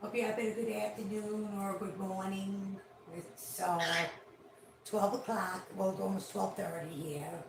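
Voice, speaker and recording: Amid noticeable background noise and audible room echo, a woman with a New York accent speaks at a moderate pace and medium pitch, with fairly even intonation. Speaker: pet owner livestreaming their parrot. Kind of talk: casual livestream chat talking to a pet bird.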